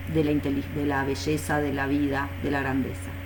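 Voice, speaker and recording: Over noticeable background noise and audible room echo, a woman's voice moves through very wide pitch swings. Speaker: philosophy professor. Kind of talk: lecture.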